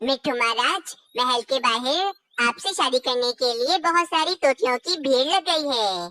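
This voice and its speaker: Cartoonish character voice from a woman, high-pitched with very wide pitch swings, at a moderate pace. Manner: deferential.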